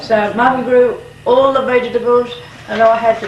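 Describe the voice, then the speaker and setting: A woman's fairly high pitch and fairly even intonation, amid noticeable background noise and audible room echo. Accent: rural Australian. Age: 80s+. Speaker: farmer's wife. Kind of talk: oral history interview.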